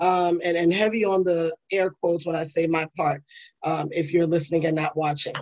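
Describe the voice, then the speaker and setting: A woman speaks at a moderate pace with a fairly low pitch. The sound is dry and close, with no echo. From New York, the Bronx. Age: 40s. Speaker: podcast host and attorney. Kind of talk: solo casual commentary. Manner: animated, conversational.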